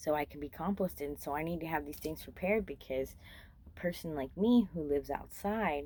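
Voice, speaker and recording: A woman with a very deep, low pitch and vocal fry speaks at a moderate pace with ordinary pitch variation. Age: 40s. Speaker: vlogger, former freight train rider. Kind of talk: casual monologue vlog. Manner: casual, rambling with fillers.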